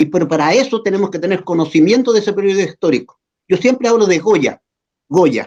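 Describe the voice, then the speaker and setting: A man with a Chilean accent, high in pitch, with lively intonation at a fairly quick pace. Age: 70s. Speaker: muralist artist. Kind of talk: interview. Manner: halting, with repetitions and fillers.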